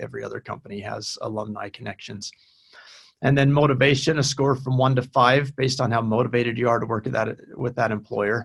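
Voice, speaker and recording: Fairly quick and somewhat breathy, a man speaks with fairly even intonation. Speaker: university career director. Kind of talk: webinar presentation with Q&A.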